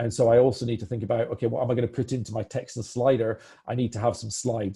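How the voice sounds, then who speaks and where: Somewhat breathy and dark, mellow in tone, a man talks at a very fast pace at a medium pitch. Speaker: product demo presenter. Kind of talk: live software demo webinar. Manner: hesitant, many fillers and restarts.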